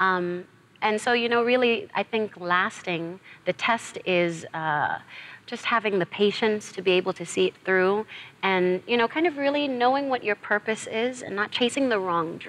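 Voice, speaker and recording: With an American accent, a woman speaks at a moderate pace. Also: fairly high pitch for a woman, lively intonation. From New York, raised by South African parents. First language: Zulu. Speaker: actress. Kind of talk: TV interview.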